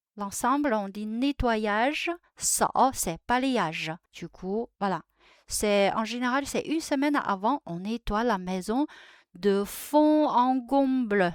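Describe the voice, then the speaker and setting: Her fairly high-pitched voice carries lively intonation. The woman's recording is very clean with a silent background and a dry, close sound with no echo. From China. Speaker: Chinese language and culture youtuber. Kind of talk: tutorial. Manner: halting, many hesitations.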